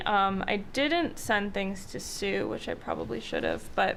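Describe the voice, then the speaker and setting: In a space with audible room echo, a woman at a medium pitch talks at a fairly slow pace. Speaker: town planning consultant. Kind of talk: public meeting presentation. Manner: loud; hesitant, many fillers.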